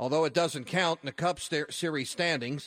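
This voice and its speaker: A man's plain, everyday voice, fairly high in pitch, at a fairly quick pace, in a very clean recording with a silent background. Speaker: radio host. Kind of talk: sports talk radio. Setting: studio.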